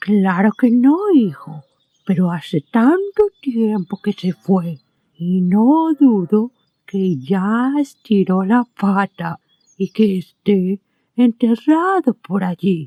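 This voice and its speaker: A female-sounding, put-on character voice moves at a very slow pace. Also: medium pitch for a woman. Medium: audio drama.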